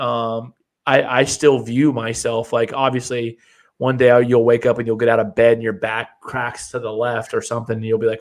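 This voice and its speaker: Here is a man with an ordinary speaking voice at medium pitch. He talks at a moderate pace. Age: 30s. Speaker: podcast co-host. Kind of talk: casual chat.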